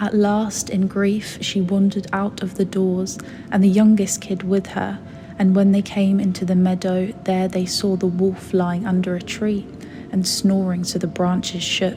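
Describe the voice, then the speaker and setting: A soft-spoken voice with a soothing tone talks at a fairly slow pace in a monotone, flat intonation. Noticeable background noise runs underneath. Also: woman, medium pitch for a woman. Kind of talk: sleep story. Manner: soft-spoken, soothing.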